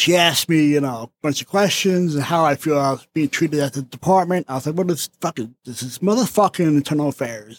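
This man talks at a fairly quick pace with a fairly high pitch and lively intonation. The sound is dry and close, with no echo. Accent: New Jersey. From New Jersey. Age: 40s. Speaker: recovering alcoholic, former police officer. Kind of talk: casual chat.

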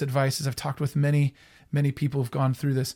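The voice is somewhat breathy. The recording is very clean and dry, close with no echo, on a silent background. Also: man. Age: 30s. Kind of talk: faith-based teaching monologue. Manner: halting, frequent repetitions and fillers.

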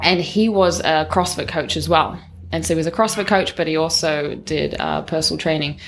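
A woman with a New Zealand accent talks at a fairly quick pace and fairly low pitch, with vocal fry and fairly even intonation. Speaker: personal trainer and CrossFit coach. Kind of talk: casual interview chat.

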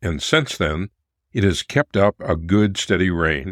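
Dry and close with no echo, a normal speaking voice proceeds at a fairly slow pace. The recording is very clean, the background silent. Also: man. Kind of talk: period letter reading. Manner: formal, measured, warm period-style delivery; earnest, affectionate, steady pacing.

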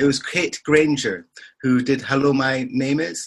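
With a fairly bright tone and a slightly husky edge, a man talks at a moderate pace in a medium pitch and ordinary pitch variation.

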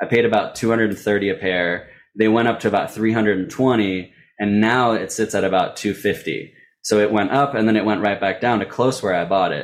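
Over a quiet background, a man with a fairly low pitch speaks in a normal speaking voice at a moderate pace, his loudness very even. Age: 30s. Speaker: sneaker reseller. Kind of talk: interview.

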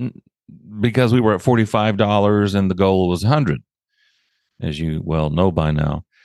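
A man speaks at a fairly low pitch and a moderate pace. His pitch variation is ordinary, and the background is quiet. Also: long, frequent pauses. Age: 60s. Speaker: podcast host. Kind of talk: casual monologue update. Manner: casual, upbeat.

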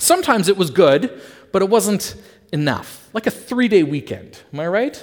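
Very wide pitch swings from a man with a Canadian accent, at a moderate pace. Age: 30s. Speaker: pastor. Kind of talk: sermon.

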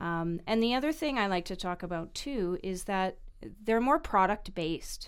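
In a very clean recording with a silent background, a woman with a Canadian accent uses an ordinary speaking voice at a medium pitch, a moderate pace and lively intonation. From Vancouver, Canada. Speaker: mortgage broker. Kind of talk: podcast interview.

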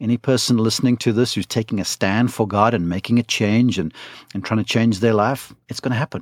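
A man with a South African accent at a fairly quick pace and fairly even intonation, in a dry, close sound with no echo on a very clean recording with a silent background. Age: 50s. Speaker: golf broadcaster and coach. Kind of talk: interview testimony.

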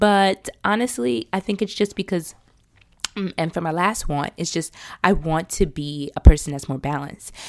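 A woman with an ordinary speaking voice, fairly low in pitch, at a moderate pace with lively intonation, in a dry, close sound with no echo. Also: big swings in loudness. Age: 30s. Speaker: podcast host. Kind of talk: solo reflective monologue.

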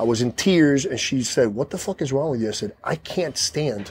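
With an unremarkable speaking voice, a man talks at a moderate pace and fairly high pitch with lively intonation, the sound dry and close with no echo on a very clean recording with a silent background. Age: 40s. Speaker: firefighter and gym owner. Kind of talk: casual chat. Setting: in his home.

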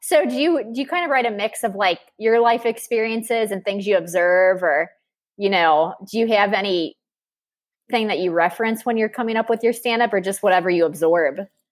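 Medium in pitch, a woman speaks at a fairly quick pace with lively intonation on a very clean recording with a silent background. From Cincinnati, Ohio. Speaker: podcast host. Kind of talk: casual interview. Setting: laptop microphone. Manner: fast; animated.

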